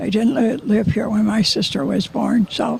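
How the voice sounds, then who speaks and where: The speaker has an American accent. Background noise is noticeable. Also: woman. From Nevada City, California. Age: 90s. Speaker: oral history interviewee. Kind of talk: interview. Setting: outdoors. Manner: halting.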